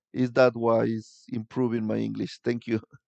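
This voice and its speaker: Against a quiet background, a man with a Spanish accent speaks in a medium pitch, the sound dry and close with no echo. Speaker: tour guide and vlogger. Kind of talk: live stream chat with viewers. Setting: live stream. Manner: halting.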